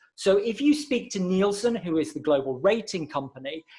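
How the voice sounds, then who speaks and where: The man talks at a moderate pace with lively intonation. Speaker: marketing consultant and webinar presenter. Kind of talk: webinar presentation.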